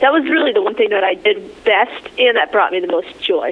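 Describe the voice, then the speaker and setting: Lively intonation from a woman, set against noticeable background noise. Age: young. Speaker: author and realtor. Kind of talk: interview.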